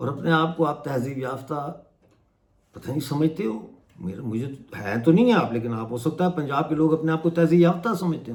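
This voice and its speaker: This man's voice sits fairly high. The intonation he uses is lively. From Mirpur, Pakistan-administered Kashmir. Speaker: human rights activist and YouTuber. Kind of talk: political commentary to camera. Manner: impassioned.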